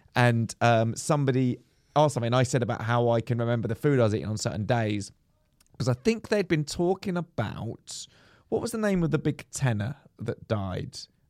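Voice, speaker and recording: This man has an English accent, a medium pitch and a fairly quick pace. The recording is very clean with a silent background and a dry, close sound with no echo. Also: lively intonation. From England. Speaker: comedian and podcast co-host. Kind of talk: casual chat. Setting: recording at a comedy venue, outdoors nearby.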